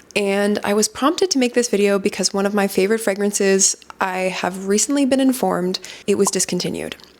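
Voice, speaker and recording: In a plain, everyday voice, the speaker moves at a fairly quick pace with very even loudness and fairly even intonation. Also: woman, medium pitch for a woman. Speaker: fragrance content creator. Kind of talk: informational vlog talk. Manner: casual, conversational.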